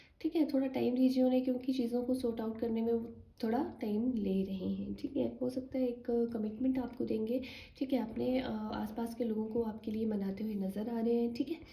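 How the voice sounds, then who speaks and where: A soft-spoken woman talks at a moderate pace and fairly high pitch, with fairly even intonation and hardly any pauses. Audible room echo and noticeable background noise fill the recording. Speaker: tarot card reader. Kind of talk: tarot reading for viewers. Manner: soft-spoken, low volume.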